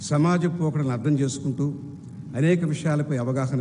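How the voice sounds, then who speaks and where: A man with a fairly high pitch speaks somewhat breathily. His intonation is fairly even, with audible room echo around him. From Andhra Pradesh, India (Nellore). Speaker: chief guest speaker, alumnus. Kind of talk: convocation speech. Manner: formal.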